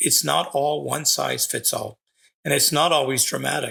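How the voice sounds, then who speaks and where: A man talks fairly slowly, captured on a very clean recording against a silent background. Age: 60s. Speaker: psychic medium podcast host. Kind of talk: podcast monologue.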